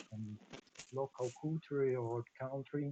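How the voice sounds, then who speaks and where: A man with a non-native accent, flat monotone delivery, and a dark, mellow tone in a dry, close sound without echo. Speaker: lawyer presenting a web radio project. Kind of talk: live video-call presentation. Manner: halting.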